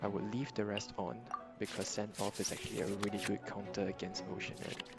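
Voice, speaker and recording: With music in the background, a man talks at a fairly quick pace in a fairly low pitch. His loudness stays very even, and his pitch variation is ordinary. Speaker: card game content creator. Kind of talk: casual gameplay commentary.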